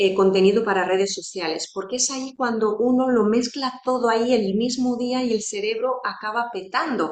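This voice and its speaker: With a non-native accent, a woman speaks at a moderate pace, her fairly high voice keeping a fairly even intonation. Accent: non-native Spanish speaker. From Romania. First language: Romanian (speaking Spanish). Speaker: psychologist. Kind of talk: educational talk to fellow therapists.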